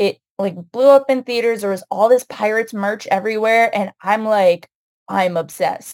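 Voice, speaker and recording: A woman with a plain, everyday voice and an American accent speaks at a fairly high pitch and a moderate pace, with ordinary pitch variation, in a dry, close sound with no echo. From United States. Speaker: writer. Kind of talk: casual chat.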